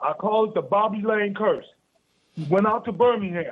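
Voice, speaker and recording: A man speaks at a moderate pace. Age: 60s. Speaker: caller. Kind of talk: phone-in storytelling.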